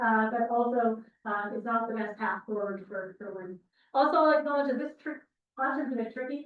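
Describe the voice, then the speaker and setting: A woman's high voice with a Canadian accent, ordinary pitch variation, and a fairly quick pace. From Alberta, Canada. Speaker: university instructor. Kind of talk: lecture. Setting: classroom, recorded with Zoom. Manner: fast.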